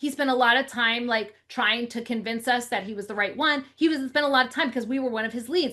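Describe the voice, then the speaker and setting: Bright and sharp in tone, a woman speaks very fast in a high, animated voice with hardly any pauses against a quiet background. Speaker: real estate marketing coach. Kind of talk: webinar sales pitch.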